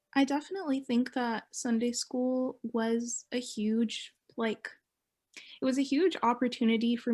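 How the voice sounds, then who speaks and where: On a very clean recording with a silent background, a woman with a normal speaking voice talks at a moderate pace and fairly high pitch, with fairly even intonation. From Mississauga, Ontario, Canada. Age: 20s. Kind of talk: oral history interview answer.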